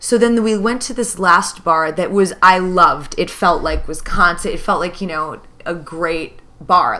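A woman speaks with a fairly low pitch. Her pace is moderate. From US Midwest. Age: 30s. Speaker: podcast co-host. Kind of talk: casual chat. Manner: loud.

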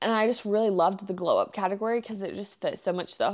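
The voice is a woman's, medium in pitch. She talks very fast. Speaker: lifestyle podcast host. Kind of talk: casual solo chat. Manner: animated.

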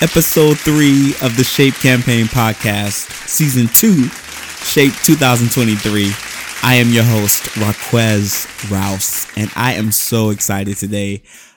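A man talks at a fairly slow pace in a medium pitch with ordinary variation and an animated, warm tone. Crowd noise sits in the background. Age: 20s. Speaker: photographer and podcast host. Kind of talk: casual interview chat. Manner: animated, warm, laughing.

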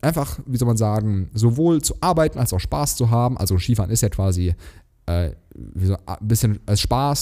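A man's voice with a Hessian accent, a dark, mellow tone, and lively intonation. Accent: Hessian sch pronunciation. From Germany, Hesse. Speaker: podcast co-host. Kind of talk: casual chat.

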